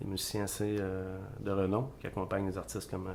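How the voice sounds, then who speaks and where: With a Quebec accent, a man talks at a moderate pace and fairly low pitch with fairly even intonation, in audible room echo. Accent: Québécois French. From Quebec, La Tuque. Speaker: singer-songwriter. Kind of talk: interview. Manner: hesitant, many fillers.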